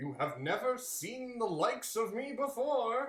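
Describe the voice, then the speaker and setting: A put-on character voice with a warm tone and fairly high pitch moves at a moderate pace with slight echo. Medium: read story. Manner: hearty, warm, expansive.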